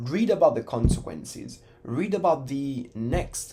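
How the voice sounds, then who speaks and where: In an Italian accent, a man speaks at a fairly slow pace against noticeable background noise. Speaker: educational YouTuber. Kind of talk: casual talk to camera.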